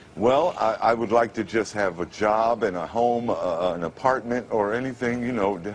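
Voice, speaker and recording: The speaker has an American accent and talks at a moderate pace with ordinary pitch variation. Noticeable background noise is present. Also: man. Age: 50s. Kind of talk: TV interview answer. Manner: halting, repetitive.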